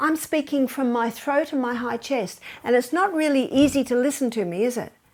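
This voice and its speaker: A woman does a put-on character voice at a high pitch, sounding strained. She talks at a fairly quick pace with ordinary pitch variation. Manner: tight, hard to listen to.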